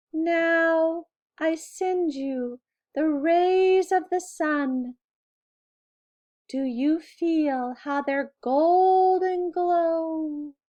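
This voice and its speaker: Putting on a character voice, a woman speaks at an extremely high pitch and a very slow pace. The background is quiet. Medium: read story. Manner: gentle, soft-spoken.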